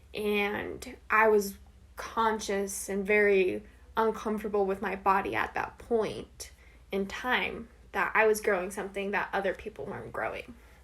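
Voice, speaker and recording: Speaking at a fairly slow pace with an American accent, this voice has monotone, flat intonation and vocal fry. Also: woman, medium pitch for a woman. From Arizona, US (Flagstaff). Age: 18. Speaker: college student. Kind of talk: interview.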